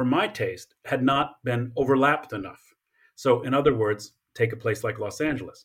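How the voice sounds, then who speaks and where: On a very clean recording with a silent background, a man with an American accent speaks somewhat breathily at a medium pitch. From Colorado Springs, US (military family, partly Japan). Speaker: history professor. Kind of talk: interview.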